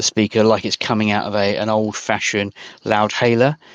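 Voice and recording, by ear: Someone reads a text aloud in a natural voice.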